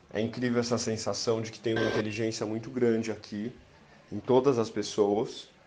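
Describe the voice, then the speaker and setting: A man at medium pitch and moderate pace speaks with monotone, flat intonation, yet his loudness swings widely. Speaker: filmmaker. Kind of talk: personal account.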